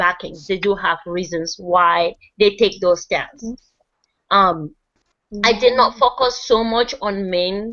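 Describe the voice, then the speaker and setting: Speaking at a very slow pace, a woman with a non-native accent uses a medium pitch and ordinary pitch variation. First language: not English. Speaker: group discussion leader. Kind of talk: presentation reading from notes. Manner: halting, stumbles over words.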